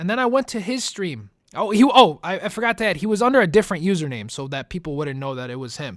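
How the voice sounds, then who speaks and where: Very fast and animated, a man with a high pitch and a slight Italian accent swings his pitch very widely in a very clean recording with a silent background. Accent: slight Italian-tinged accent, rolls his R's. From US Midwest, Chicago. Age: 20s. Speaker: gaming YouTuber. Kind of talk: casual Q&A monologue.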